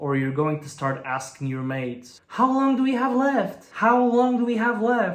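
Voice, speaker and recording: A man speaks at a fairly slow pace with very wide pitch swings, and audible room echo surrounds the voice. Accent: Bulgarian. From Bulgaria. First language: Bulgarian. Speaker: language learning youtuber. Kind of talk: vlog monologue.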